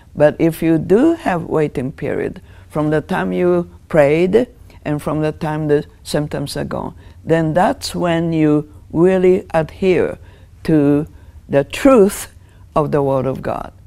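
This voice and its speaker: A woman's very deep, low voice in a Japanese accent, dark and mellow, with ordinary pitch variation and a very slow pace. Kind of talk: Bible teaching talk. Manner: earnest, emphatic, declarative; earnest, explanatory, with hesitations. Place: studio. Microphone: lapel.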